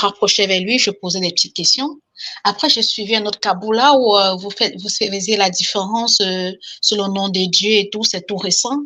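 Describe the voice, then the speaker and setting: A woman talks at a moderate pace with a bright, sharp tone and medium pitch against a quiet background. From Cameroon. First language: Cameroonian language, now lost (speaking French). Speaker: caller. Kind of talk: testimony.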